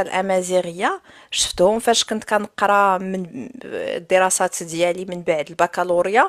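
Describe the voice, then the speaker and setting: A woman speaks at a fairly slow pace and medium pitch, the sound dry with no echo and the background quiet. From Morocco, Souss; Morocco. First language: Tashelhit (Amazigh) (speaking Arabic). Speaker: live stream host. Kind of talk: casual discussion. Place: home room. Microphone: studio mic.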